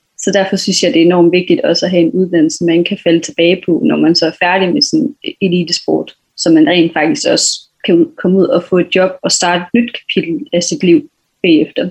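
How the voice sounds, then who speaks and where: A woman of medium pitch speaks at a moderate pace with very wide pitch swings and very even loudness. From western Jutland, Denmark (Hvide Sande). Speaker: athlete (sprinter, hurdler). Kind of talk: interview.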